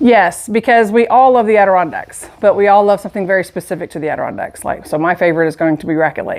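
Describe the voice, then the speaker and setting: Woman with a Southern US accent at a very fast pace, medium pitch, lively intonation and hardly any pauses. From US South, Dothan, Alabama. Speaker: shop owner. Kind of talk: casual interview. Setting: in a shop.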